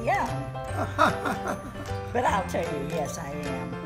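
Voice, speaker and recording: A woman talks at a fairly slow pace. Loud music plays in the background. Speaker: assisted living resident. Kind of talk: casual conversation. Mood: playful, laughing. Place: home room. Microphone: phone near.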